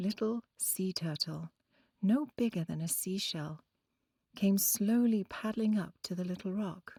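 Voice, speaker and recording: A dark, mellow, gentle and soothing tone in an Oxford accent, somewhat breathy, with lively intonation and a dry, close sound with no echo. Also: woman. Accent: British, Oxford. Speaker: storyteller. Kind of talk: children's bedtime story. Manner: gentle, calming, soothing; clear pronunciation.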